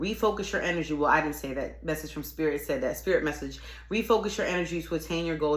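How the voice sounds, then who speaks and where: Speech comes very fast, with audible echo from the room. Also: woman. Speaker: tarot reader. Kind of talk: tarot reading monologue. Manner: animated.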